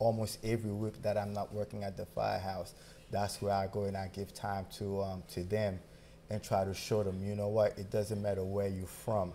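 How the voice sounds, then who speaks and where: Speaking at a moderate pace with a Haitian accent, a man has a dark, mellow tone, fairly low pitch and monotone, flat intonation. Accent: Haitian accent, kept. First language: Haitian Creole. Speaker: firefighter. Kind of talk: interview. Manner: halting.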